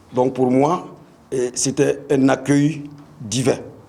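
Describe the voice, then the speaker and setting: Speaking at a very slow pace with a medium pitch, a man is heard amid audible room echo and noticeable background noise. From Burkina Faso, Bobo-Dioulasso. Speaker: football coach. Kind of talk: press conference speech. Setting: press conference. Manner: halting, many hesitations and repetitions.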